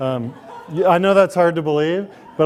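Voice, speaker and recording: A man speaks in an American accent with ordinary pitch variation. His pace is moderate. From US Midwest, Columbia, Missouri. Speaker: professor. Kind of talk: lecture.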